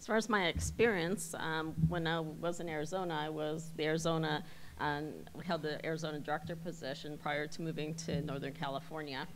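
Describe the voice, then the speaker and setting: With an American accent, a woman speaks at a very deep, low pitch and a fairly quick pace. Her intonation is fairly even, and the room echo is audible. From US Midwest. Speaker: airport executive, election candidate. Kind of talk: campaign speech.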